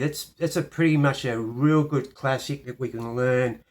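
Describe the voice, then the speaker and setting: Speaking with an Australian accent, this man has a fairly high voice. His intonation stays fairly even. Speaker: piano teacher. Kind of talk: tutorial.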